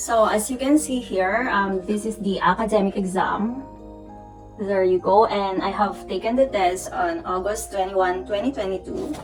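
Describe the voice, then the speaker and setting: A woman with a Filipino accent speaks at a medium pitch and a moderate pace, with ordinary pitch variation and music in the background. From Philippines. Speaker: nurse. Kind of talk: casual talk to camera.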